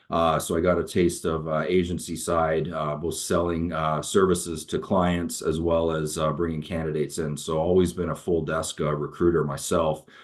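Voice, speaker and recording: Speaking in a Canadian accent, a man uses a very deep, low pitch with monotone, flat intonation. He keeps a moderate pace with hardly any pauses. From Canada, Toronto. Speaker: recruiter. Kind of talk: webinar introduction. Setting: video call. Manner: halting, many fillers.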